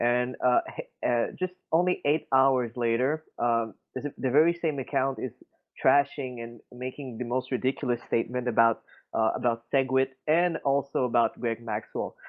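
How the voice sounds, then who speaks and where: The speaker talks with a Quebec accent and fairly even intonation. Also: man, medium pitch for a man, moderate pace. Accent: Quebecois French-accented English. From Quebec City, Canada. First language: French. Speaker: crypto community member. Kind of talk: casual discussion. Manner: halting, many fillers.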